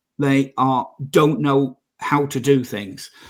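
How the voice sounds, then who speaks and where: A man's medium-pitched voice with an English accent. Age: 60s. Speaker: property investor and mentor. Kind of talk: podcast interview. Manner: halting.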